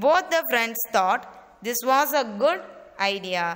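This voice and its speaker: A woman speaks at a fairly slow pace. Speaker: school teacher. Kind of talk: reading a lesson aloud to pupils. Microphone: phone near.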